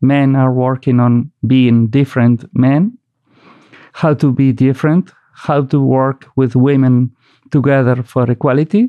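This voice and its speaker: Speaking at a fairly slow pace, a man with a Basque accent keeps his intonation fairly even. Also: medium pitch for a man, very even loudness. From Basque Country, Spain. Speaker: poet and novelist. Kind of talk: interview conversation.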